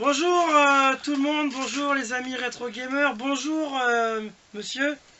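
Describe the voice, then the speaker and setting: An extremely high-pitched man's voice at a very slow pace, fairly even in intonation, over noticeable background noise. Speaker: retro gaming youtuber. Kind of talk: casual chat. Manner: hesitant.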